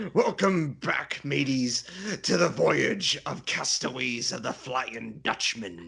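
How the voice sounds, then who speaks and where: A man uses a put-on character voice at a medium pitch, speaking at a fairly slow pace. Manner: playful, theatrical.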